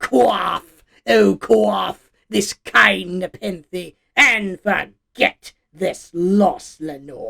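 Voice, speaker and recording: Someone speaks in a put-on character voice at middle pitch. The pace is very slow. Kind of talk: dramatic poetry reading. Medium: dub.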